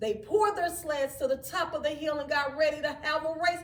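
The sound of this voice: A woman's high pitch and fairly bright tone at a moderate pace, with fairly even intonation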